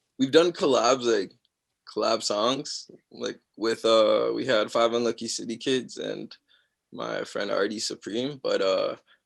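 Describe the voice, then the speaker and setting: A man with a Toronto accent, at a fairly slow pace. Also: long, frequent pauses. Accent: Canadian (Toronto area). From Mississauga, Ontario, Canada. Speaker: singer. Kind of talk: casual interview. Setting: video call.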